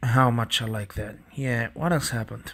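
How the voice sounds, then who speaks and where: On a very clean recording with a silent background, a man speaks with a non-native accent. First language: not English. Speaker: TV show reviewer. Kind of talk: casual video review.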